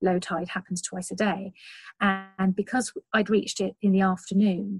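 Somewhat breathy at a medium pitch, a woman speaks in a dry, close sound with no echo. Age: 40s. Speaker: long distance walker and outdoor blogger. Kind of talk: interview.

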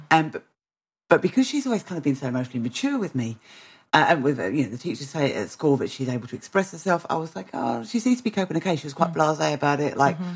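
Over a quiet background, a woman with a British accent talks at a very fast pace, her very deep, low pitch making very wide swings. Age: 40s. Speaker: podcast host. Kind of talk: casual interview.

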